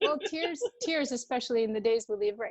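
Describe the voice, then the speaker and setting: This is a woman. She speaks with an Albanian accent. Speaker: wellness coach. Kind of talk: interview. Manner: warm, hesitant with many fillers.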